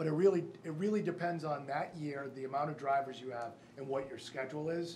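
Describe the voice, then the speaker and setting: Someone with an American accent talks at a very fast pace amid noticeable background noise and audible room echo. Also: man, fairly high pitch for a man, ordinary pitch variation. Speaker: school district official presenting budget. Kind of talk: public board meeting. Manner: halting; loud.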